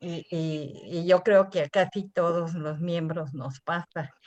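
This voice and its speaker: A woman's very slow speech. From Mexico. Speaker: theosophy lecturer. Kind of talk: lecture. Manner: halting.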